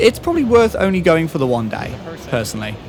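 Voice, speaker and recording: A man is speaking. Music plays in the background. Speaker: guitarist and video creator. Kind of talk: vlog narration.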